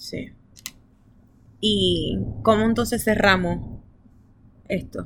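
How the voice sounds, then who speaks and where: A woman speaks at a very slow pace. Her delivery has long, frequent pauses. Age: 20s. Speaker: podcast host. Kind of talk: casual chat.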